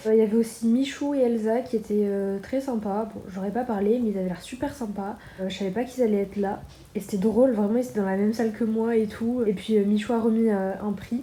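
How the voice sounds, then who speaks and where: Fairly high pitch from a woman, fairly quick pace and fairly even intonation. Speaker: vlogger. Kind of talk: casual vlog to camera. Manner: fast; hesitant, many fillers.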